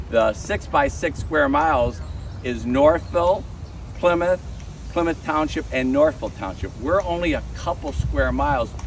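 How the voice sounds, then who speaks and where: A man speaks with an American accent at a fairly slow pace. Noticeable background noise comes through. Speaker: tour guide and local historian. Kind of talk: guided walking tour talk. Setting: outdoors with a tour group. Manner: loud.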